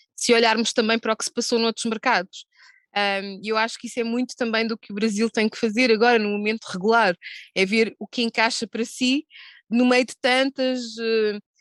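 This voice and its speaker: A woman with a fairly high pitch talks in a monotone, flat intonation with big swings in loudness, recorded dry and close with no echo over a quiet background. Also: moderate pace. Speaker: gambling industry executive. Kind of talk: panel discussion. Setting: video call.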